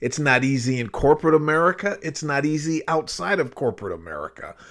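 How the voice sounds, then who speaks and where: A man speaks in a passionate tone with a fairly high pitch. The recording is very clean, with a silent background. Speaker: self-help YouTuber. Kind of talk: motivational monologue.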